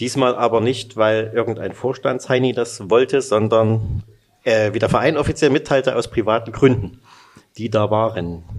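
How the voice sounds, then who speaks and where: Moderately paced, a man speaks in a plain, everyday voice. His pitch is medium and his intonation fairly even. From Saxony, Freiberg. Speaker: sports journalist, podcast host. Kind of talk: interview.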